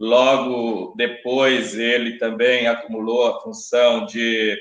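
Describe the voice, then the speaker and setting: With fairly even intonation, a man speaks at a medium pitch amid audible room echo. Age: 50s. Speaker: election candidate, teacher. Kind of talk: debate opening statement. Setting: live-streamed debate. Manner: formal.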